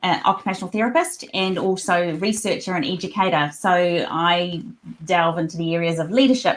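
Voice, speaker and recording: This woman speaks at a fairly quick pace with a New Zealand accent. Her pitch is fairly low, with ordinary pitch variation. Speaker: occupational therapist and researcher. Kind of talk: podcast interview.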